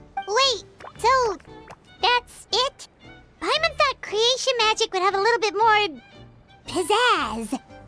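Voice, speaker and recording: At a fairly slow pace, a put-on character voice pipes at an extremely high pitch while faint music plays in the background. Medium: video game. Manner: refers to self in third person.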